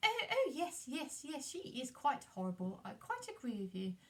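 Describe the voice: Putting on a character voice, a woman speaks high with very wide pitch swings. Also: moderate pace.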